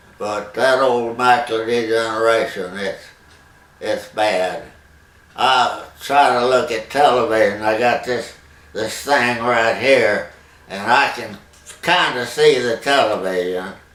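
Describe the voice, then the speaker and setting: Over noticeable background noise, a man with a Texan accent speaks very slowly in a medium pitch with ordinary pitch variation. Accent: Texan Southern US. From Texas. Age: 80s+. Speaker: longtime local resident. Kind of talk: interview answer. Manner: slow, hesitant.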